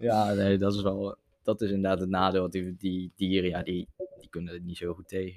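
A man speaks at a moderate pace in a very deep, low pitch with monotone, flat intonation. The sound is dry and close, with no echo. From Netherlands, Zevenaar. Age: young. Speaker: podcast guest. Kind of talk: casual chat.

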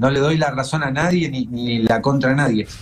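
Somewhat breathy, a man speaks at a moderate pace in a fairly high pitch with ordinary pitch variation. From Argentina, Mar del Plata. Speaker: TV show creator. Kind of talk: casual chat.

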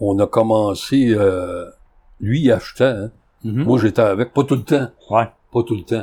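Somewhat breathy and dark, mellow in tone, a man speaks fairly slowly at a medium pitch with ordinary pitch variation and long, frequent pauses. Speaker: antique dealer. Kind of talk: casual chat.

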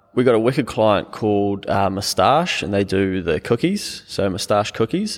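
In a New Zealand accent, a man with a fairly low pitch talks at a moderate pace with hardly any pauses and ordinary pitch variation, on a very clean recording with a silent background. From New Zealand, small town. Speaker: accountant and business owner. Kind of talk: casual interview.

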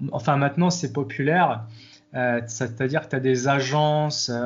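Speaking at a moderate pace, a man with a medium pitch sounds somewhat breathy, his intonation fairly even. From Morocco, Agadir. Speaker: software developer and fitness coach. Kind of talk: interview.

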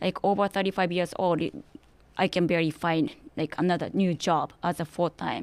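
A woman with a Japanese accent at a moderate pace, with fairly even intonation, very even loudness and a dry, close sound with no echo. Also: fairly low pitch for a woman, very clean recording, silent background. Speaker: interview guest. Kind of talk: interview.

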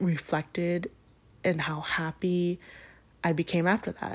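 The recording is very clean with a silent background, and the delivery is monotone with flat intonation. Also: woman. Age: 20s. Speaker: podcast host. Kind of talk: casual monologue. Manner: casual with frequent fillers and laughs.

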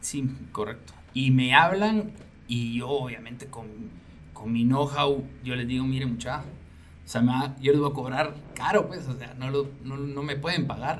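Heard with audible room echo, a man speaks fairly slowly at a medium pitch with ordinary pitch variation and big swings in loudness. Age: 40s. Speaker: business manager and musician. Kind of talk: interview.

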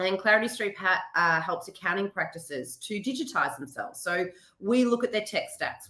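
A woman with an Australian accent speaks at a moderate pace, with a medium pitch. Her tone is bright and sharp, and her intonation lively. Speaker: business owner. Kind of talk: interview. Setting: remote call.

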